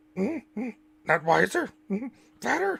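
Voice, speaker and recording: Growling in a put-on character voice, the speaker holds a fairly high pitch at a very slow pace. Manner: growly, teasing.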